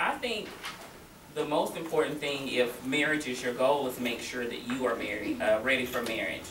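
Over noticeable background noise, a woman with an American accent talks at a moderate pace in a very deep, low voice. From US South. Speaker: nonprofit worker. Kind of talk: panel discussion. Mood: earnest advice-giving. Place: classroom. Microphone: camera far.

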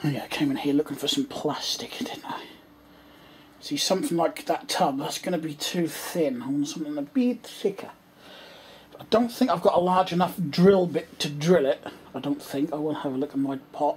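At a moderate pace, the voice comes through over light background noise. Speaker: hobbyist vlogger. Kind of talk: casual vlog chat. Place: home room. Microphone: phone near.

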